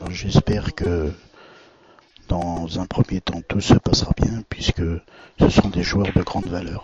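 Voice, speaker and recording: A soft-spoken man at a very slow pace, flat and monotone, with noticeable background noise. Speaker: billiards commentator. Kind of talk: live commentary.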